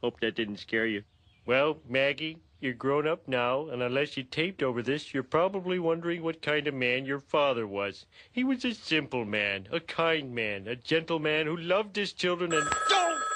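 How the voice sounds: Cartoonish character voice at a low-to-middle pitch and moderate pace, over a quiet background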